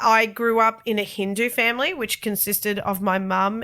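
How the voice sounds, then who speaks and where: With an Australian accent, a woman speaks at a medium pitch in a bright, sharp tone with fairly even intonation, on a very clean recording with a silent background. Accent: thick Australian. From Australia, Sydney. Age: 30s. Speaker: podcast host. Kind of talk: personal testimony podcast. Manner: casual, chatty.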